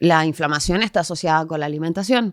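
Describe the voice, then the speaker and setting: The voice shows ordinary pitch variation. The sound is dry and close with no echo, in a very clean recording with a silent background. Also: woman. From Chile. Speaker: geographer, urban planner, massage therapist. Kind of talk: podcast interview answer.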